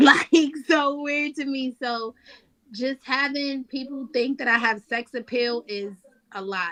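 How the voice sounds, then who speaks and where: Dry and close with no echo, a woman's raised, projected voice has a high pitch, a bright, sharp tone, ordinary pitch variation and a New York accent. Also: fairly slow pace. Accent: New York (Bronx). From New York, the Bronx. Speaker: battle rapper. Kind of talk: casual interview.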